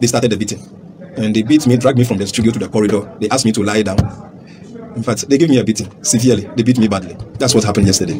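A man talks at a very fast pace with ordinary pitch variation over noticeable background noise. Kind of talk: interview answer. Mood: shaken, recounting an assault. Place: studio.

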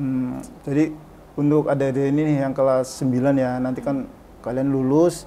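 With light background noise behind him, a man with a fairly high pitch speaks in a flat monotone. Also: moderate pace. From Indonesia, Brebes, Central Java; Central Java, Indonesia. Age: 30s. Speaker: vocational school automotive department head; vocational school teacher guest. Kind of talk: casual interview. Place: studio.

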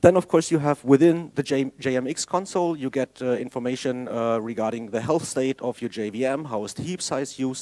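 The man speaks at a fairly quick pace with ordinary pitch variation. Behind him the background stays quiet. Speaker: conference presenter. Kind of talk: technical conference talk. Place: hall.

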